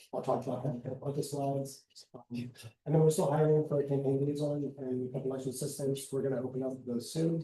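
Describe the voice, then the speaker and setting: A man speaks very fast in a monotone, with flat intonation and a fairly high pitch. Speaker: student government officer. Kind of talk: report presentation.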